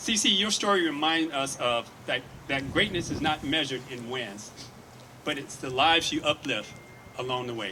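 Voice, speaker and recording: Over noticeable background noise, a man with a fairly high pitch talks at a moderate pace with lively intonation. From Detroit, Michigan. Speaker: hospital executive. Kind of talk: ceremonial speech.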